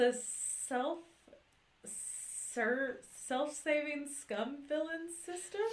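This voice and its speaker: A woman's hissing, high-pitched character voice, put on, at a very slow pace with long, frequent pauses. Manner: hissing, drawn-out s sounds like a snake.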